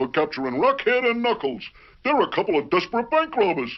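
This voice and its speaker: Putting on a cartoonish character voice, a man speaks at a very fast pace in a high pitch with very wide pitch swings. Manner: chuckling, hesitant.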